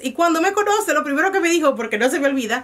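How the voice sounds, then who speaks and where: A woman speaks with a Dominican accent and lively intonation. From Dominican Republic. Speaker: vlogger. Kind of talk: casual vlog monologue.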